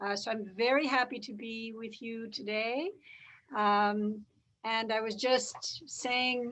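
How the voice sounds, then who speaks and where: A woman's fairly even intonation against a quiet background. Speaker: law professor, human rights clinic director. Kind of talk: lecture. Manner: deliberately slow.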